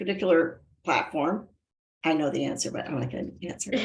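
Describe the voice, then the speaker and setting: A woman's animated tone with vocal fry and very wide pitch swings. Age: 60s. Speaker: talk show host. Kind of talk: interview. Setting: video call.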